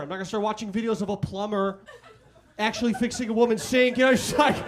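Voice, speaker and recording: A man speaks at a very fast pace in an extremely high pitch, with ordinary pitch variation and noticeable background noise. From Chicago. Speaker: stand-up comedian. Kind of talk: stand-up.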